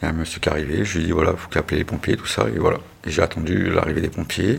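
The man's voice is very deep and low in pitch. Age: 40s. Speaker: injured delivery driver retraining as driving instructor. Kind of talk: personal testimony.

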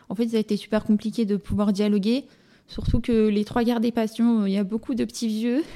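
Her tone dark and mellow, a woman speaks at a moderate pace with a fairly high pitch and fairly even intonation. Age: 20s. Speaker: deaf guest with cochlear implants. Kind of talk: testimony.

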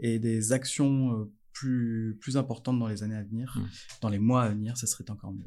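A man speaks at a medium pitch with a dark, mellow tone. His pace is moderate and his intonation monotone and flat. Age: 40s. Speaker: energy education project officer. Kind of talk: casual interview. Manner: halting, frequent hesitations.

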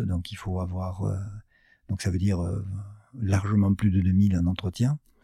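A man's very deep, low voice, dark and mellow in tone and somewhat breathy, comes through on a very clean recording with a silent background. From southwest France (Gers). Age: 50s. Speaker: business founder. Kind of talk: interview. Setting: his office. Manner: halting, many fillers.

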